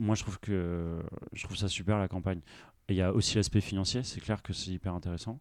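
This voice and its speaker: On a very clean recording with a silent background, a man talks at a fairly quick pace in a fairly low pitch with fairly even intonation. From Brittany, Brest. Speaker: entrepreneur. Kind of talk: interview. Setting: inside a parked bus. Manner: hesitant, many fillers.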